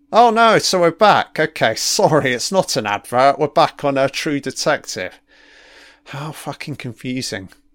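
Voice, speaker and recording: The voice moves at a fairly slow pace with very wide pitch swings. The recording is very clean, with a silent background, and sounds dry and close with no echo. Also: man, fairly high pitch for a man. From UK. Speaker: commentator. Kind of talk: angry rant, sweary commentary over a TV episode, sarcastic mocking tirade. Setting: home recording, audio-only commentary while watching.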